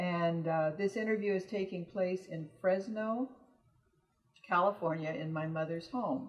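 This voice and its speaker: In a normal speaking voice, a woman talks fairly slowly at a medium pitch with ordinary pitch variation. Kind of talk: oral history interviewer.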